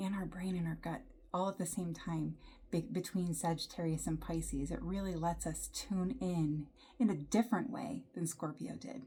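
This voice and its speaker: Vocal fry colors this woman's fairly low-pitched voice. She keeps a moderate pace. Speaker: yoga instructor. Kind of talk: guided yoga class.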